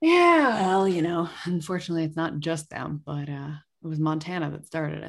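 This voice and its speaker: This is a plain, everyday voice with an American accent. The intonation stays fairly even while the loudness swings a lot. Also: woman, fairly low pitch for a woman, fairly quick pace. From Massachusetts. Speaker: labor journalist and author. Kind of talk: interview. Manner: casual.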